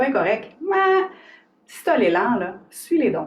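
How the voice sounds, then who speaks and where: A woman with a Quebec accent speaks in an animated tone with very wide pitch swings. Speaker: author and somatic coach. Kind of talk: live stream talk to viewers. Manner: animated, informal.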